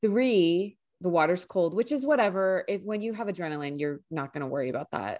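In a Californian accent, a woman talks at a fairly quick pace and medium pitch, with an animated tone and very wide pitch swings. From US West Coast, San Francisco Bay Area. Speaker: podcast co-host. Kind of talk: casual chat.

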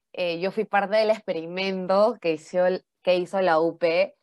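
An ordinary speaking voice from a woman, medium in pitch, with fairly even intonation at a moderate pace. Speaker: university student podcast co-host. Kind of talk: casual chat.

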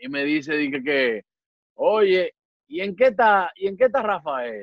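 A man talks at a fairly slow pace. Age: 20s. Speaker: comedian and impressionist. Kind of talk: casual chat.

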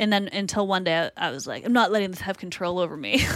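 With a slight Boston accent, a woman's medium-pitched voice has a bright, sharp tone in a very clean recording with a silent background. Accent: Boston accent, slight, people say Canadian. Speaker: TV comedy writer. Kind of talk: casual chat.

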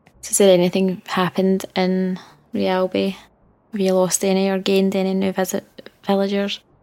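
In a Scottish accent, a woman talks at a moderate pace with a medium pitch, a dark, mellow tone and monotone, flat intonation. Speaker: podcast co-host. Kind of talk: casual chat.

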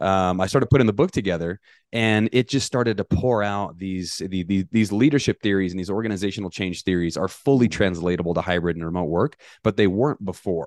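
In an American accent, a man speaks at a very fast pace with a very deep, low pitch and ordinary pitch variation. The background is quiet. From US, northern New Mexico (Taos). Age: 40s. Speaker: leadership coach, author, Marine veteran. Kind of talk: interview. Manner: halting, with fillers and repetitions.

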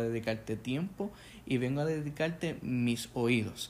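Speaking with a Puerto Rican accent, a man talks at a fairly slow pace. His pitch is medium, with ordinary variation. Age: 20s. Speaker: podcast host, English teacher and aspiring pastor. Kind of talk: casual chat. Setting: home living room.

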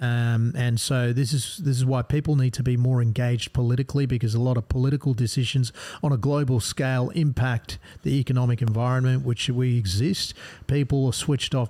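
A dark, mellow, somewhat breathy tone at a fairly quick pace, with fairly even intonation. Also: man. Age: 40s. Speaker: gastroenterologist. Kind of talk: podcast interview.

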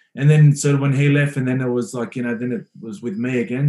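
A man at medium pitch and a fairly quick pace. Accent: Australian. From Western Sydney, Australia. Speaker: professional rugby player. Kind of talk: casual chat.

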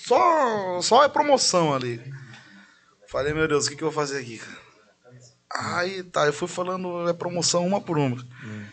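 This man talks with a high pitch. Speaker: singer and radio announcer. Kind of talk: casual chat.

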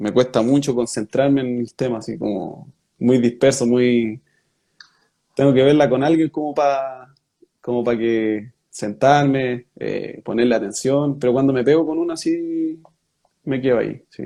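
At a fairly slow pace, a man speaks at a medium pitch with a Chilean accent. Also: ordinary pitch variation. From Chile, Rengo (O'Higgins region). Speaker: professional footballer. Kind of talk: interview.

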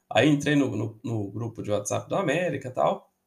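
This man's voice is fairly high in pitch and somewhat breathy. His intonation is lively. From Belo Horizonte, Minas Gerais, Brazil. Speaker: football podcaster and historian. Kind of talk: casual podcast monologue.

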